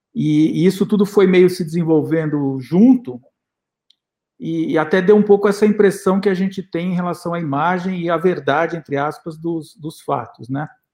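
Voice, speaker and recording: A man speaks at a high pitch with a dark, mellow tone. His pace is moderate. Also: ordinary pitch variation. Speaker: documentary filmmaker and professor. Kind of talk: panel interview.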